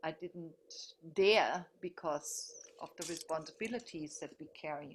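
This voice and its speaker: A woman with a strong German accent speaks in a fairly low voice. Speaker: teacher. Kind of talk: group video meeting discussion.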